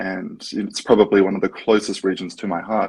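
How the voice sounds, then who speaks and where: Fairly low in pitch, a man with an Australian accent speaks at a moderate pace. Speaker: startup co-founder. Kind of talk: interview.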